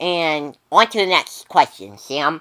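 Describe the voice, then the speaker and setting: In a put-on character voice, a woman speaks with a fairly low pitch. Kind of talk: amateur skit acting. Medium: comedy sketch. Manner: eager, easily impressed.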